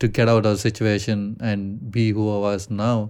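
This man has an American accent and a fairly low pitch. The recording is very clean, with a silent background. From India. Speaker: podcast co-host. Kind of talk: casual chat. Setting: studio.

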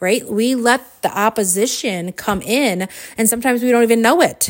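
Woman with an animated tone and lively intonation, at a moderate pace. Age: 40s. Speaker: podcast host and coach. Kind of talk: solo motivational monologue.

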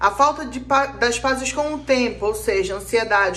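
A woman talks at a high pitch as noticeable background noise plays behind her. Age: 30s. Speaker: spiritual counselor and podcast host. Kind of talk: casual monologue.

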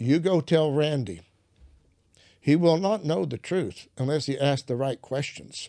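With lively intonation and a dark, mellow tone, a man talks at a fairly high pitch, leaving long, frequent pauses on a very clean recording with a silent background. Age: 70s. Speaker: preacher. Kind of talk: casual chat.

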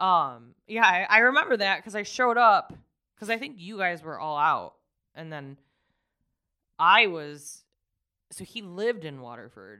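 Long, frequent pauses at a fairly slow pace, with very wide pitch swings, big swings in loudness and a bright, sharp tone, on a very clean recording against a silent background. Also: woman. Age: 30s. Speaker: life coach. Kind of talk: casual chat.

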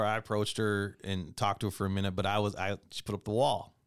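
This man talks at a fairly quick pace with a Midwestern American accent. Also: very clean recording, silent background. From Michigan, US Midwest. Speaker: podcast host. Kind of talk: casual interview chat.

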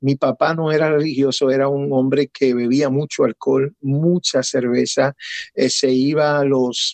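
A man's medium-pitched voice in monotone, flat intonation at a fairly slow pace. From Puerto Rico, raised in Connecticut. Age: 50s. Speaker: pastor. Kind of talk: testimony.

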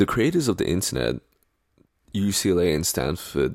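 In a very clean recording with a silent background, a man speaks at a fairly slow pace with vocal fry, his very deep, low pitch swinging very widely. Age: 20s. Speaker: podcast host. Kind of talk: solo podcast monologue.

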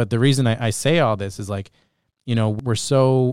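With a normal speaking voice, the speaker talks at a moderate pace in a dry, close sound with no echo, on a very clean recording against a silent background. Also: man. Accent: Canadian. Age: 30s. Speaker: podcast host. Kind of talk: casual interview chat. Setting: studio.

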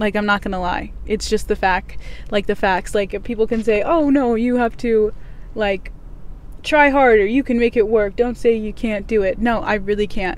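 A woman speaks at a fairly high pitch. Her pace is moderate and her intonation fairly even. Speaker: podcast host. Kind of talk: casual solo podcast monologue. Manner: monotone; candid, personal.

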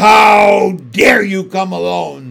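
This raspy, put-on character voice sits at a middle pitch. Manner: angry, domineering.

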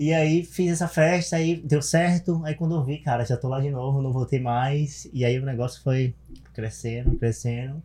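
Noticeable background noise accompanies a man who speaks at a moderate pace with a fairly high pitch. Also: ordinary pitch variation. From Bahia, Brazil (small interior town). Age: 30s. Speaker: event promoter. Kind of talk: casual chat.

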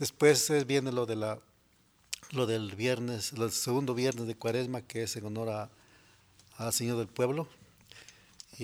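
A man's medium-pitched voice moves at a fairly slow pace, its intonation fairly even. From Mexico, Morelos (Xalostoc). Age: 60s. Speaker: farmer. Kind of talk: interview. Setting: studio.

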